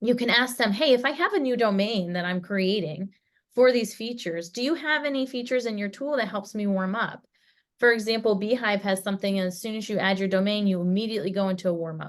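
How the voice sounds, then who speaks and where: Very fast speech with ordinary pitch variation. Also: woman, medium pitch for a woman. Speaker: email deliverability expert. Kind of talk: webinar presentation.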